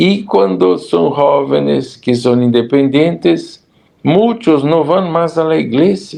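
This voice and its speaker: A man with a Brazilian accent at a medium pitch, very slow, with very wide pitch swings. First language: Portuguese (speaking Spanish). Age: 70s. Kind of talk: interview.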